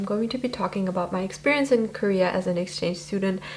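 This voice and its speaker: Over noticeable background noise, a woman talks at a very fast pace. Her pitch is medium, with ordinary variation. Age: 20s. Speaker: YouTuber, university student. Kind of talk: casual vlog talk to camera. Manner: casual, reading from notes at times.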